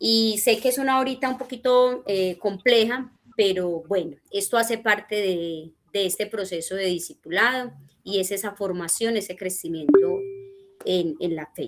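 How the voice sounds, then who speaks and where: Here a woman has an unremarkable speaking voice at medium pitch. She goes at a fairly slow pace with lively intonation. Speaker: discipleship teacher. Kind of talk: church teaching class.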